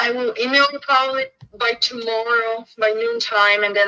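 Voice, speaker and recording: A woman speaks with a Bulgarian accent. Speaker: real estate agent. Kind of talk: business phone call.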